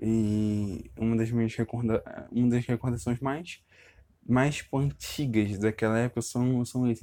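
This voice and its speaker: A man with a Brazilian accent speaks at a moderate pace and medium pitch, in a dark, mellow tone. His intonation is fairly even and his loudness very even, with a dry, close sound and no echo. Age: 20s. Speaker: podcaster. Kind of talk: personal monologue. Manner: halting; casual.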